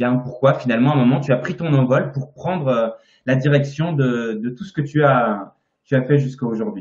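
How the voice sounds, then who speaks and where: A man talks at a moderate pace in a somewhat breathy voice, with medium pitch and ordinary pitch variation. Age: 30s. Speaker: naturopathy teacher and interviewer. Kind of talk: live-stream interview. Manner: hesitant, many fillers.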